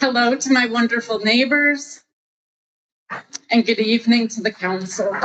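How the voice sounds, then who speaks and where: Long, frequent pauses break up speech delivered with fairly even intonation in a Western New York accent. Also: woman, fairly high pitch for a woman, moderate pace. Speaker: retired college dean, local resident. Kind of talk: public comment at council meeting. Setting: council meeting room.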